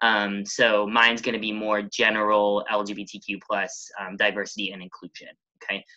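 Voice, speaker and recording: A man's fairly low-pitched voice with a bright, sharp tone. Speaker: diversity trainer. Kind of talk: webinar presentation. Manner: fast.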